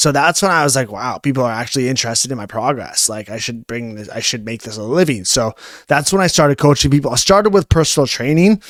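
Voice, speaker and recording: A man with a Canadian accent speaks at a very fast pace with a fairly high pitch and lively intonation, in a dry, close sound with no echo. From Canada, Ontario (Newmarket, Toronto area). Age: 20s. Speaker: fitness coach. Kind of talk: podcast interview. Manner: casual, filler-heavy.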